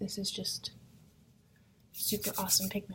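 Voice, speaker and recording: She talks at a moderate pace. Her voice is soft-spoken and somewhat breathy. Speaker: makeup vlogger and product seller. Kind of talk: makeup tutorial. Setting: at home in apartment. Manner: soft-spoken, keeping voice down; casual, hesitant with fillers.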